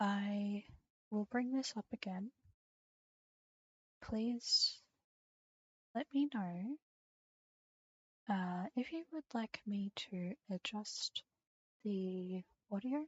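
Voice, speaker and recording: A soft-spoken woman with a fairly high pitch talks at a very slow pace. She leaves long, frequent pauses and her pitch variation is ordinary. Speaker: streamer. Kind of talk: casual chat. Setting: live stream.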